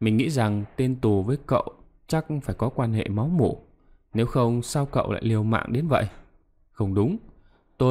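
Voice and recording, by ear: Someone reads aloud in a natural voice.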